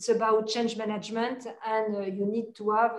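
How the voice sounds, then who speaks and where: Speaking in a French accent, a woman uses a monotone, flat intonation at a fairly high pitch, with audible room echo around her. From France. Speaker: corporate sustainability executive. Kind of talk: interview. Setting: video call. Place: office. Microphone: video call.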